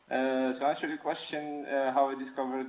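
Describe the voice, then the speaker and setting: The intonation is monotone and flat. Noticeable background noise can be heard. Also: man. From Algeria, North Africa. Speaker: freelance comic and manga artist. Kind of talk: casual interview chat. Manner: halting, many fillers and restarts.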